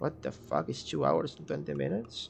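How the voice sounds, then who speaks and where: A man speaks with a Spanish accent. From Catalonia, Spain (Barcelona). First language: Spanish/Catalan. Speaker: gaming streamer. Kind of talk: live stream game guide. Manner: casual, hesitant with fillers.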